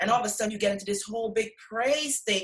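The woman's voice is somewhat breathy and fairly high in pitch. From Guyana. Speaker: co-author of a faith anthology. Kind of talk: casual interview, faith testimony. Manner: hesitant, many fillers.

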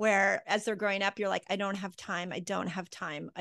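Over a quiet background, a woman speaks at a fairly quick pace with a bright, sharp tone, medium pitch and monotone, flat intonation. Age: 50s. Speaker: holistic health expert and author. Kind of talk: casual chat.

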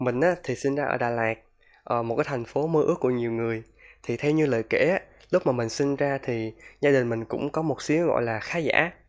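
Against a silent background, the recording is very clean. Its an unremarkable speaking voice, keeping a moderate pace and ordinary pitch variation. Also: man, medium pitch for a man. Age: 20s. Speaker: podcaster. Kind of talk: personal monologue podcast.

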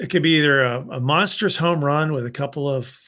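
A man with a normal speaking voice talks at a fairly high pitch. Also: very clean recording, silent background. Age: 50s. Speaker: executive recruiter and former naval flight officer. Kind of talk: casual interview.

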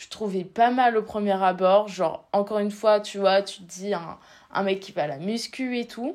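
A woman talks at a fairly slow pace in an unremarkable speaking voice. Her pitch is medium, with ordinary variation. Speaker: podcast co-host, student. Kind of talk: casual chat.

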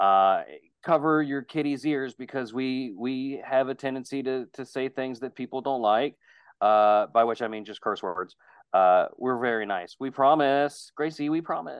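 Here a man uses a plain, everyday voice at a medium pitch, with ordinary pitch variation and a moderate pace. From West Virginia. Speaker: podcast co-host. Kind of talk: casual chat.

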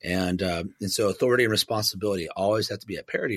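A normal speaking voice moves at a fairly quick pace with fairly even intonation in a very clean recording with a silent background. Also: man. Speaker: pastor. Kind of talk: interview conversation.

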